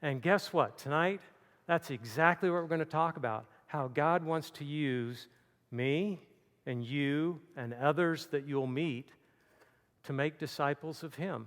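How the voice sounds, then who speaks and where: A man speaks at a fairly slow pace in a fairly high voice with ordinary pitch variation. The recording is very clean, with a silent background. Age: 60s. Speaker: campus ministry speaker. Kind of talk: sermon. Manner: halting.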